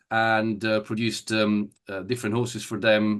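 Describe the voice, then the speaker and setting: Against a quiet background, a man with an Italian accent talks at a moderate pace in a bright, sharp tone. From Italy (Turin). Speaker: event rider. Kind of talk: interview. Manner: halting, many fillers.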